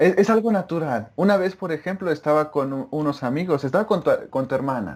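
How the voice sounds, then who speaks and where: A fairly quick pace, intonation lively throughout. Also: man, fairly high pitch for a man. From Mexico. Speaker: former Russian-language student, interviewee. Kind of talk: casual interview over video call. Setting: remote video call.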